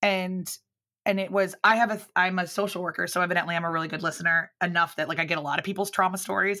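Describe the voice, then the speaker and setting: In a Mid-Atlantic American accent, a woman talks very fast at medium pitch with a bright, sharp tone. Her intonation is monotone and flat, on a very clean recording with a silent background. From US Mid-Atlantic (Baltimore and Philadelphia suburbs). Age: 30s. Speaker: public speaker and business owner. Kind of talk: casual interview chat.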